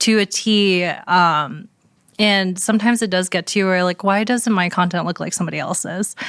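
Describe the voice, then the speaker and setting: A woman speaks at a medium pitch and a moderate pace with fairly even intonation, in a very clean recording with a silent background. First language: not English. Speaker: beauty content creator. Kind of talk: casual interview chat. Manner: halting, many fillers.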